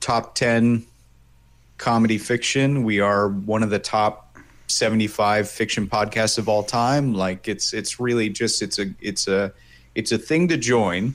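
A man with an ordinary speaking voice, fairly low in pitch, at a fairly slow pace on a very clean recording with a silent background. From New York State, US. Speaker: voice actor and illustrator. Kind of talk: interview. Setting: studio.

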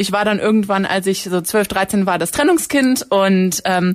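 This woman has a plain, everyday voice, medium in pitch, and speaks at a moderate pace. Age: 20s. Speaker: university student and campus radio editor. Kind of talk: casual chat.

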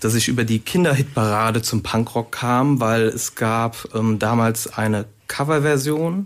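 Here is a man with a normal speaking voice. His medium pitch varies in an ordinary way. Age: 30s. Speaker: author and drummer. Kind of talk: radio interview.

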